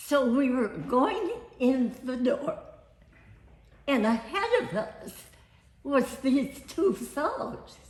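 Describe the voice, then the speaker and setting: Very slow and broken by long, frequent pauses, a woman talks in a high pitch with lively intonation and an American accent. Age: 80s+. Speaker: family elder telling her life story. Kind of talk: storytelling. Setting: family reunion.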